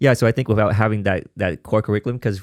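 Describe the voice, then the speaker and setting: The speaker has a Vietnamese accent and fairly even intonation. The recording is very clean, with a silent background. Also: man, dry, close sound with no echo. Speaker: podcast host and house dancer. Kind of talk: interview conversation. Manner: halting, many fillers.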